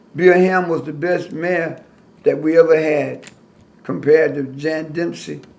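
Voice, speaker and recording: Audible room echo surrounds the recording. The speaker is a man. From US South, Alabama. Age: 60s. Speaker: pastor and civil rights activist. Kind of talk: oral history interview. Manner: animated.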